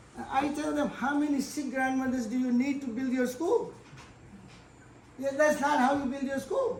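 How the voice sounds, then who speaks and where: With audible room echo around him, a man talks at a moderate pace in an extremely high pitch. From India. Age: 80s+. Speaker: professor. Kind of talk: lecture. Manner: halting.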